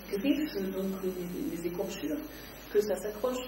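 A woman speaks at a medium pitch in a room with audible echo. Noticeable background noise runs underneath. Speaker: novelist. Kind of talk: author interview. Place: shop.

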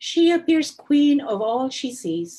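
This woman talks at a fairly slow pace with a somewhat breathy voice. Her pitch swings very widely. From India. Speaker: novelist. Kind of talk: reading aloud. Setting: video call live stream.

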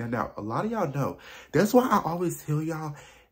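A fairly quick, somewhat breathy voice carries lively intonation. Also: man. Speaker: fragrance vlogger. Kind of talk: casual vlog chat. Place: home room. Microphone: phone near.

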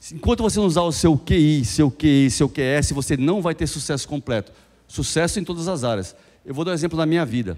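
The speaker moves at a fairly quick pace with lively intonation against a quiet background. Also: man. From Brazil. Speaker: business speaker. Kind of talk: motivational talk. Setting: stage with audience. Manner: animated. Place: hall. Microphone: handheld.

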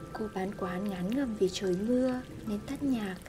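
A soft-spoken woman talks at a very slow pace in a fairly high voice. Music plays in the background. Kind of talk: literary essay reading.

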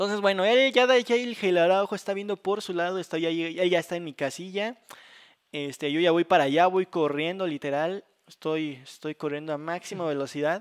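High-pitched speech from a man with a Mexican accent, at a moderate pace with ordinary pitch variation. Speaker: gaming youtuber. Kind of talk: casual gameplay commentary.

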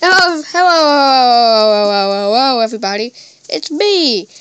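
Putting on a character voice, a woman speaks at a very slow pace in a high pitch. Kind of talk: children's TV host. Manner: warm, welcoming.

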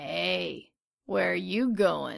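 This is a put-on character voice with a raspy edge. The pitch sits very deep and low. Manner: lascivious, predatory.

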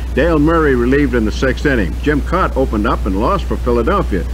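Over music in the background, a man with a very deep, low voice speaks at a fairly quick pace in a monotone, flat delivery. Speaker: radio sportscaster. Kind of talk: radio sports news read. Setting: radio broadcast. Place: studio. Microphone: old recording.

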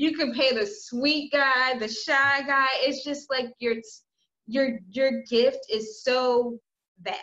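Using a raised, projected voice, a woman speaks at a very slow pace with high pitch, ordinary pitch variation, and a bright, sharp tone against a quiet background. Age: young. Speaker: online video host. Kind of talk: interview. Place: home room. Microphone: video call.

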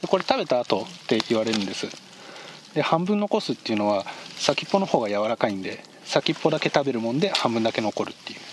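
A man talks at a fairly quick pace with very wide pitch swings, in a dry sound with no echo and noticeable background noise. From Shizuoka, Japan; Japan. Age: 30s. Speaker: hunter and rest stop operator. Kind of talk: interview. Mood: warm, reflective, often smiling.

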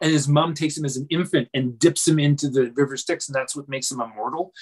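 A man speaks at a very fast pace, somewhat breathy. The background is quiet. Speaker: guest. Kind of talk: interview answer. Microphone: video call.

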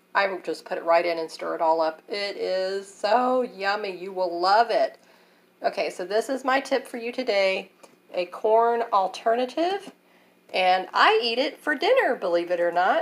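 In an unremarkable speaking voice, a woman with an American accent talks at medium pitch and a moderate pace with lively intonation. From US South. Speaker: cooking channel host. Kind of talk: cooking tutorial. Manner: casual, conversational. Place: kitchen. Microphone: phone near.

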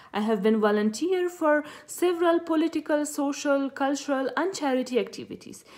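A woman with an Afghan accent speaks at a moderate pace against a quiet background. Her high-pitched voice has a dark, mellow tone and lively intonation. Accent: Afghan (Pashto) English. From Afghanistan, Khost province. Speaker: youth advocate. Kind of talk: personal introduction speech. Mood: earnest, hopeful. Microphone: phone near.

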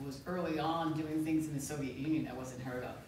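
A woman speaks in a very deep, low pitch with monotone, flat intonation, over light background noise and audible room echo. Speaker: guest. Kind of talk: panel talk answer. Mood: serious, somber. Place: hall. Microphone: camera far.

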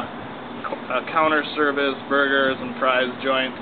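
Noticeable background noise sits behind a man speaking at a fairly slow pace. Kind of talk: interview answer.

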